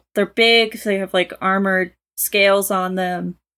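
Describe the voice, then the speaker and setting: Speaking at a fairly slow pace, a woman uses a plain, everyday voice at a medium pitch. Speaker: co-reader guest. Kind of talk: casual chat, reading and discussing a story.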